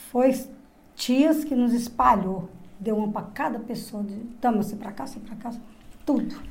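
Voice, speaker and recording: In a room with audible echo, a woman speaks with big swings in loudness and long, frequent pauses. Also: fairly high pitch for a woman, ordinary pitch variation, moderate pace. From Goiás, Brazil (interior). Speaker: interviewee, host's mother. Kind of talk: life story testimony.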